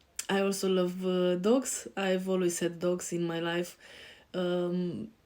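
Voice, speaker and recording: A medium-pitched woman with a European accent, monotone and flat, at a very slow pace. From Romania. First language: Romanian. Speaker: life coach. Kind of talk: self-introduction on a show. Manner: hesitant, many fillers.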